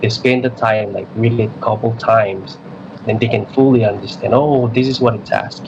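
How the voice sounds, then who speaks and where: A man talks at a moderate pace and a medium pitch. His intonation is monotone and flat, with noticeable background noise behind him. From Micronesia (Chuuk). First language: not English. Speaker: middle school math teacher. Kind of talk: radio interview. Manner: halting, many repeats.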